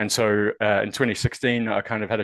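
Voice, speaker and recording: With a New Zealand accent, a man talks at a very fast pace in a fairly low pitch, the sound dry and close with no echo over a quiet background. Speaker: university research fellow. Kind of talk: webinar presentation. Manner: hesitant, many fillers.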